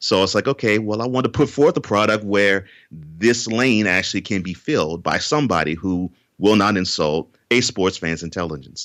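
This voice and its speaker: Recorded very cleanly against a silent background, a man uses an ordinary speaking voice, fairly low in pitch, with lively intonation and a moderate pace. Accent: American. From Texas, Houston. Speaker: author and sports podcaster. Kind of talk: interview. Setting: podcast.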